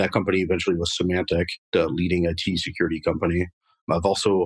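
Here a man speaks at a very fast pace. His pitch is very deep and low. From France. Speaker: marketing director. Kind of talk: interview.

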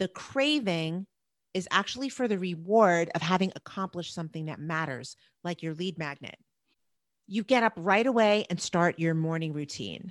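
In a New Jersey accent, a woman speaks at a moderate pace and a fairly low pitch with lively intonation. The background is quiet, and the sound is dry and close with no echo. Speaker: productivity coach. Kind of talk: casual podcast chat.

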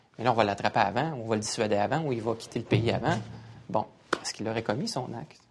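Over noticeable background noise, a man of medium pitch talks at a very fast pace with ordinary pitch variation and long, frequent pauses. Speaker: security expert, former intelligence agent. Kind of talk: panel discussion.

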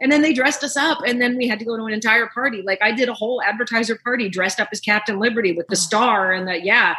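The speech runs at a very fast pace with hardly any pauses and ordinary pitch variation, over noticeable background noise. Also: woman, fairly high pitch for a woman. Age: 60s. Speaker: actress, director and writer. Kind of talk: casual interview.

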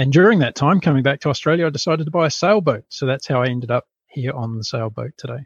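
With a New Zealand accent, a man with a fairly high, somewhat breathy voice races along at a very fast pace with hardly any pauses. The sound is dry and close, without echo. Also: ordinary pitch variation. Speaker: podcast founder, former corporate executive. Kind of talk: interview. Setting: remote call from a boat.

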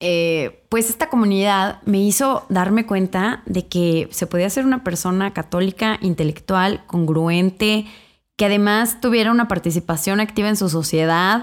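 A woman with an unremarkable speaking voice talks at a fairly slow pace and medium pitch, with ordinary pitch variation and very even loudness, on a very clean recording with a silent background. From Mexico, Irapuato, Guanajuato. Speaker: podcast co-host, pro-life feminist activist. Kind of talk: casual interview.

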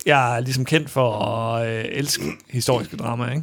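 The tone is bright and sharp. A man delivers his words at a moderate speed. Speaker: podcast host. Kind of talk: casual chat. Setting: studio.

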